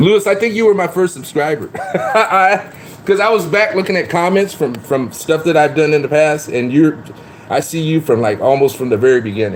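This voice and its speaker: A man talks at a fairly quick pace and a fairly high pitch, with very wide pitch swings. Noticeable background noise runs underneath. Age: 50s. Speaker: live streamer. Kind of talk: casual chat.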